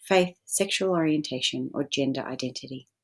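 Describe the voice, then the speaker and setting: Very deep and low, a woman's voice shows ordinary pitch variation on a very clean recording with a silent background. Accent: Australian. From Australia. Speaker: photographer and arts organisation founder. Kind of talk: pre-recorded presentation. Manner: formal.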